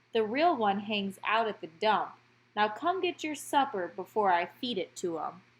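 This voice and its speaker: In a put-on character voice, the speaker moves along at a moderate pace. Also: woman, fairly high pitch for a woman. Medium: read story. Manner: brisk, folksy.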